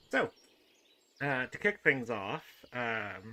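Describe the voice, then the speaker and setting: This man has a Northern Irish accent and a medium pitch. His tone is bright and sharp. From Northern Ireland. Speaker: video game content creator. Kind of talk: gameplay commentary. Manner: hesitant, many fillers.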